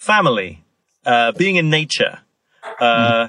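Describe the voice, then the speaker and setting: Spoken with a northern English accent, the voice has a lively intonation. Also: man. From northern England, York. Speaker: author and former newspaper psychology columnist. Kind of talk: podcast interview.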